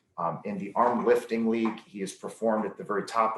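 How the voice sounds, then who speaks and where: A man with a normal speaking voice talks at a fairly quick pace, his medium pitch moving with ordinary variation. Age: 30s. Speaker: strength athlete. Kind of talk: interview. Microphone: occasional connectivity issues.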